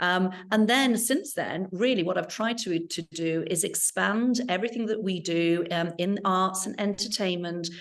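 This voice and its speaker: In an English accent, a woman speaks at a medium pitch with ordinary pitch variation. Her pace is moderate, with hardly any pauses. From England. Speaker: arts center executive director. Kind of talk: interview. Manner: hesitant, many fillers.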